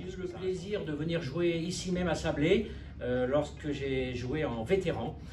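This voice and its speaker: With music in the background and audible room echo, a man speaks at a moderate pace with lively intonation. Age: 50s. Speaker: bank branch manager. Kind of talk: interview. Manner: hesitant, many fillers.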